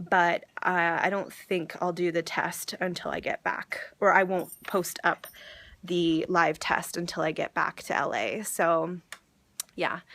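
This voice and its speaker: Speaking with an American accent, a woman has a bright, sharp tone, a fairly low pitch and fairly even intonation. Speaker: vlogger. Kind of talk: personal vlog. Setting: grandmother's house, indoors. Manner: hesitant, many fillers.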